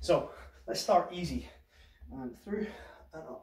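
A man talks with audible room echo. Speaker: fitness instructor. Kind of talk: workout class instruction. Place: home room. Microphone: camera far.

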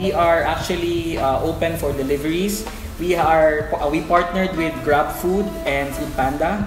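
A man talks at a moderate speed. Music is clearly audible behind him. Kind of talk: promotional presentation to camera. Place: cafe.

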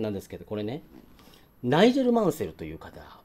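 A man talks very fast with lively intonation and a dark, mellow tone. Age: 50s. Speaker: watch YouTuber; hobby vlogger. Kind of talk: casual vlog talk; casual vlog chat. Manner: hesitant with many fillers; polite formal. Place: home room. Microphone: phone near.

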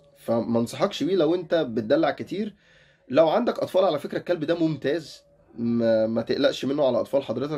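A man with an Egyptian accent talks at a moderate pace, his intonation lively. Music plays in the background. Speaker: dog-training YouTuber. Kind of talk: casual tutorial.

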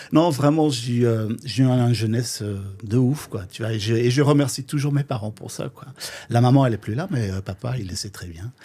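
A man's somewhat breathy voice at medium pitch, with a dark, mellow tone, ordinary pitch variation, a moderate pace and big swings in loudness. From Flanders, Belgium. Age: 50s. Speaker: drag queen DJ. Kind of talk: casual interview.

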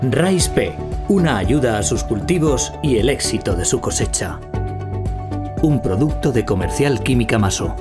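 Over clear background music, a man talks at a fairly slow pace with long, frequent pauses. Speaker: voice-over artist. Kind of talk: TV commercial read. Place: studio.

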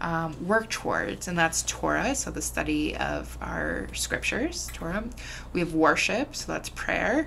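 A woman with a Chicago accent at a fairly slow pace, over noticeable background noise. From Chicago area, US Midwest. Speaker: rabbi. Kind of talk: casual interview.

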